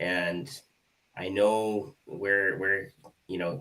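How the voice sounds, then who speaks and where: A man's fairly low voice with a Canadian accent and ordinary pitch variation. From Canada. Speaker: hypnotist, co-host. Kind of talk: live online show discussion.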